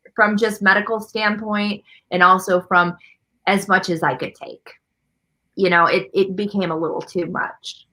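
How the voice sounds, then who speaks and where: A loud woman's voice, bright and sharp in tone, at a fairly slow pace. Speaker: artist. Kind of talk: interview.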